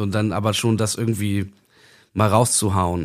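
The background is silent and the recording very clean. A man speaks at a moderate speed, his pitch varying in an ordinary way. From northern Germany, Bremen-Nord. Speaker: musician. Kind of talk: casual chat. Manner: halting.

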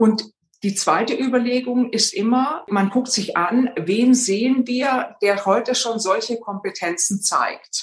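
A woman with a Swabian accent, fairly high in pitch, at a very slow pace with ordinary pitch variation. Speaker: executive coach and former board member. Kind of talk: interview.

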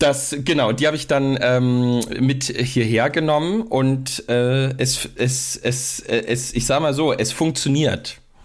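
A man speaks at a medium pitch, very slowly, with hardly any pauses. His loudness stays very even and his intonation fairly even. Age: 30s. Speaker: pastor and podcast co-host. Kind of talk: casual chat.

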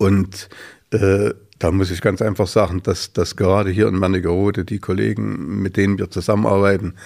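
Vocal fry runs through a monotone, flat delivery at a moderate pace, recorded very cleanly over a silent background. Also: man. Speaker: choir festival founder. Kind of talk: casual chat. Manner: halting.

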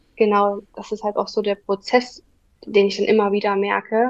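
Her voice, a woman's, is fairly high in pitch and moves at a moderate pace. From Saxony, near Dresden. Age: 20s. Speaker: virtual assistant. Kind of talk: interview.

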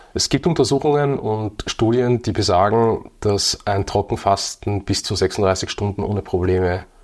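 In a normal speaking voice, a man with a fairly low pitch and ordinary pitch variation speaks at a fairly slow pace on a very clean recording with a silent background. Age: 30s. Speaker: fitness and nutrition entrepreneur. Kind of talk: casual chat.

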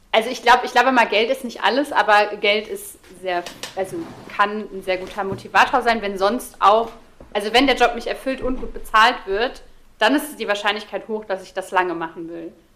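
Against noticeable background noise, a woman speaks at a moderate pace with a fairly high pitch, ordinary pitch variation, and big swings in loudness. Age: 30s. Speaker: social media creator on ADHD. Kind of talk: casual chat.

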